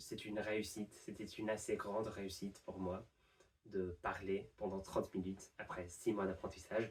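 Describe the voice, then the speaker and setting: Speaking at a fairly slow pace, a man talks. He has a non-native accent. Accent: non-native French, pronunciation errors. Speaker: university student, language learner. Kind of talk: improvised monologue to camera. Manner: hesitant, many fillers.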